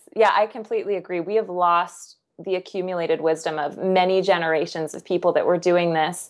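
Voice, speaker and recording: An ordinary speaking voice from a woman with an American accent, fairly low in pitch, fairly quick and with hardly any pauses, fairly even in intonation, over a quiet background. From Kansas. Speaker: nutritionist and author. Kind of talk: casual interview.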